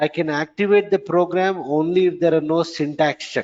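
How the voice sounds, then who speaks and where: A man speaks at a moderate pace. His pitch is high, with ordinary variation. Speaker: programming trainer. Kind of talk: lecture. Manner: repetitive.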